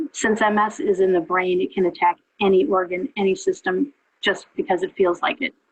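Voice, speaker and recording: A woman uses a normal speaking voice at a medium pitch, talking at a fairly quick pace with lively intonation in a dry, close sound with no echo. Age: 60s. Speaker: patient with multiple sclerosis giving testimony. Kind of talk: testimony. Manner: conversational with frequent fillers.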